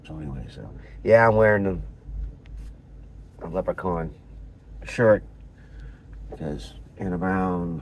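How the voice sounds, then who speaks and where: A man speaks at a very slow pace in a very deep, low voice, with long, frequent pauses. His pitch swings very widely, his loudness swings a lot, and the room echo is audible. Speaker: vlogger. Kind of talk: casual vlog monologue. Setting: in a parked car. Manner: halting, many fillers and repeats.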